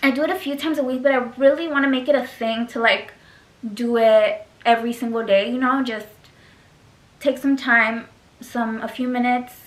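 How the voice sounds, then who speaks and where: Mumbling from a woman at a high pitch and a moderate pace. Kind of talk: casual talk to camera. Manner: mumbled.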